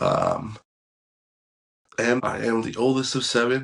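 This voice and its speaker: A man with a Californian accent, medium pitch, fairly slow pace. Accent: Californian American English. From San Francisco Bay Area, California (Pacifica). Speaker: podcast host. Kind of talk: casual monologue.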